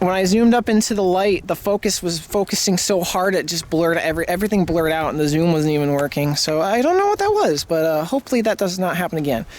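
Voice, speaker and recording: Talking very fast, a man with an American accent speaks at a high pitch. Noticeable background noise runs underneath. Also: ordinary pitch variation. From United States. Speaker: hobbyist vlogger. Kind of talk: casual vlog. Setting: outdoors. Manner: hesitant, many fillers.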